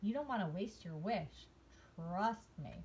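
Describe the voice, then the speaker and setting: Amid clear background noise, a woman uses a put-on character voice at a medium pitch and a fairly slow pace. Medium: read story. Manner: calm, warm, knowing.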